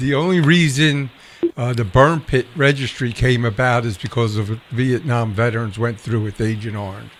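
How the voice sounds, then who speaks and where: Ordinary pitch variation and a moderate pace in a man's plain, everyday voice, medium in pitch. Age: 60s. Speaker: veterans show host. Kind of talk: casual chat. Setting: live stream broadcast.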